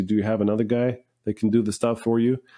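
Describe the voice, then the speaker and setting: Against a quiet background, a man talks in a fairly low pitch with a dark, mellow tone. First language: not English. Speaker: finishing business owner. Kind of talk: podcast interview.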